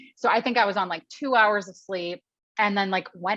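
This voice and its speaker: In an American accent, a woman talks at a fairly quick pace with an animated tone, medium pitch, and ordinary pitch variation. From Philadelphia. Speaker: actress and host. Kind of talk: interview storytelling.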